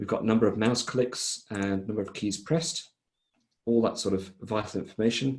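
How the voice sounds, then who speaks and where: A man with a fairly low pitch speaks at a moderate pace, with ordinary pitch variation, against a quiet background. He has an unremarkable speaking voice. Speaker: software vendor presenter. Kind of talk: product demo presentation.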